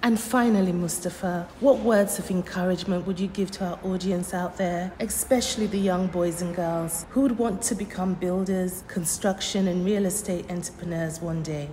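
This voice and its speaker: A woman speaks at a moderate pace with hardly any pauses and fairly even intonation. Light background noise sits behind her. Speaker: radio host. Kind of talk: scripted radio introduction. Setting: studio. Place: studio.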